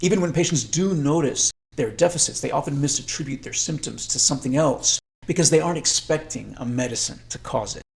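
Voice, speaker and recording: This man's fairly high voice has vocal fry, ordinary pitch variation and a fairly quick pace. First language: Spanish. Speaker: psychiatrist. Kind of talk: lecture. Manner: formal.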